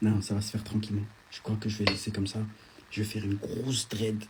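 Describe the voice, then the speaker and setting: Soft-spoken and fairly low in pitch, a man talks at a fairly quick pace with monotone, flat intonation. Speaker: social media influencer. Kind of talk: live stream chat reading comments. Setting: at a friend's home, Instagram live.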